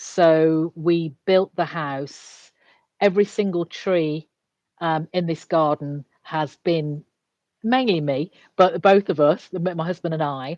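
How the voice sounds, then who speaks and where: With an English accent, a woman speaks at a very slow pace and fairly low pitch with ordinary pitch variation, in a dry, close sound with no echo over a quiet background. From England. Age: 60s. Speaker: executive coach. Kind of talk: casual chat.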